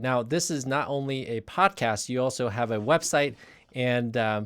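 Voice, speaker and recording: This man has a medium pitch. His intonation is lively. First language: not English. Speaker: physician, interviewer. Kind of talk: interview. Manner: halting, repeats words.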